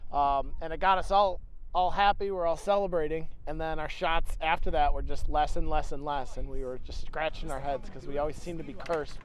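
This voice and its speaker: With audible room echo, a man with an American accent speaks at a fairly quick pace and fairly high pitch, using fairly even intonation and hardly any pauses. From New England, US. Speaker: catapult team captain. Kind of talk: interview.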